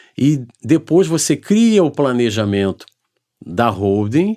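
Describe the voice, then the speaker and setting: Recorded very cleanly against a silent background, a man speaks with a dark, mellow tone. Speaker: lawyer and accountant. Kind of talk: interview.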